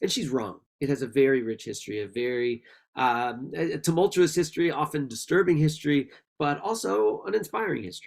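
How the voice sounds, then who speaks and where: A man's fairly high voice with an American accent, fairly quick, with very wide pitch swings. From Washington DC. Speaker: author and historian. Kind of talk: virtual conversation. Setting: video call. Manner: fast.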